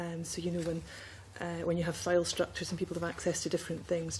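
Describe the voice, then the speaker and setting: A woman speaks in a fairly low pitch with a dark, mellow tone. Her delivery is monotone and flat, with vocal fry. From Scotland. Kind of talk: committee testimony.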